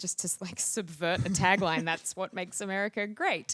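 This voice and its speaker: In an Australian accent, a woman speaks at a fairly low pitch with ordinary pitch variation, the sound dry and close with no echo. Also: very clean recording, silent background. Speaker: actress. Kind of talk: interview answer. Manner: hesitant, casual.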